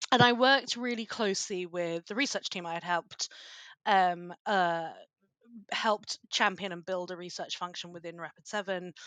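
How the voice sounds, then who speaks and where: A woman with a British accent speaks at a moderate pace in a medium pitch, her bright, sharp tone rising and falling widely in loudness with ordinary pitch variation, recorded dry and close with no echo against a quiet background. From Britain. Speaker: cybersecurity policy expert. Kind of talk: podcast interview.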